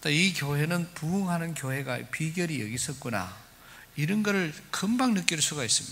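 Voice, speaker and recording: A man speaks at a moderate pace with lively intonation. There is audible echo from the room. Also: fairly high pitch for a man. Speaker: guest pastor. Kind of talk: sermon. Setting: church.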